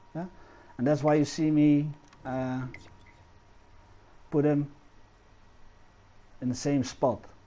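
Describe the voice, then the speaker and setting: A man with a non-native accent speaks in a fairly high, dark, mellow voice, monotone and flat, with long, frequent pauses. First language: not English. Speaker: game animation tutorial creator. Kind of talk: tutorial. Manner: hesitant, many fillers.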